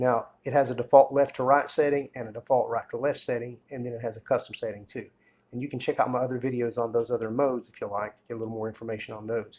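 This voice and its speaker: Here a man speaks at a very fast pace and medium pitch, in a monotone, flat intonation with big swings in loudness. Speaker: camera tutorial YouTuber. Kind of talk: tutorial. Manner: casual, hesitant with fillers.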